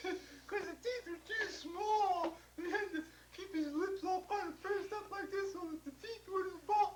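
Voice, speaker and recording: Squeaky and extremely high-pitched, this put-on character voice moves at a moderate pace over clear background noise. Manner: lips pursed, muffled speech.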